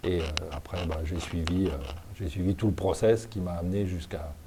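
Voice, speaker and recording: This man's delivery comes at a moderate pace. Ordinary variation shapes his pitch. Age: 60s. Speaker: badminton umpire. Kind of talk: interview. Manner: hesitant, many fillers.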